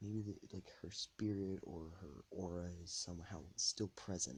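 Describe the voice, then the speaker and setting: Soft-spoken and somewhat breathy, a man talks at a fairly slow pace in a very deep, low pitch with a dark, mellow tone and ordinary pitch variation. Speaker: podcast host. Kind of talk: casual monologue podcast. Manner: rambling, hesitant. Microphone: too quiet, ambient noise.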